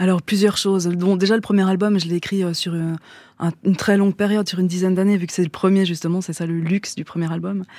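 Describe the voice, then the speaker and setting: The voice has a dark, mellow tone and moves at a very fast pace with monotone, flat intonation. The recording is very clean, with a silent background. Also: woman, medium pitch for a woman. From French-speaking Switzerland. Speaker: singer-songwriter. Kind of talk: radio interview.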